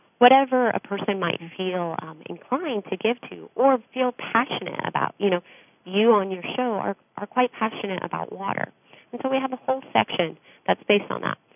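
A woman with an American accent and a plain, everyday voice speaks at a fairly quick pace in a medium pitch, with ordinary pitch variation and big swings in loudness. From United States. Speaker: charity program director. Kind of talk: radio interview.

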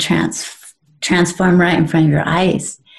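A woman speaks with a dark, mellow tone. Her voice is somewhat breathy, and her pace is very slow. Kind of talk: casual chat. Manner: halting.

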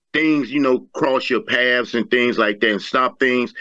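In a quiet background, a man with an American accent talks at a fairly slow pace, his medium-pitched voice bright and sharp in tone. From Virginia, US. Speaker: model and pageant winner. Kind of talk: personal life story in interview. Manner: halting with fillers.

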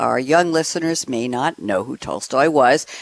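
A woman talks at a fairly slow pace in a very deep, low pitch with vocal fry. The sound is dry and close, with no echo. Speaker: radio host. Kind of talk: moderated radio panel discussion. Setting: live radio show. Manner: enthusiastic, animated.

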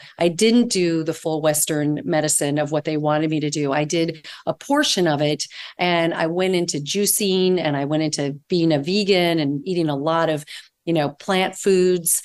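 A woman's unremarkable speaking voice, fairly low in pitch, at a moderate pace with fairly even intonation and very even loudness, over a quiet background. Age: 60s. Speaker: integrative holistic nutritionist and author. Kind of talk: interview conversation.

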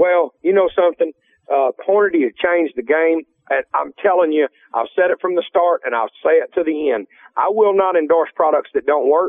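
A man talks in a high voice at a moderate pace. His pitch variation is ordinary. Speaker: hunting TV show host, radio guest.

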